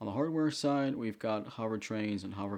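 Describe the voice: Simple, plain reading aloud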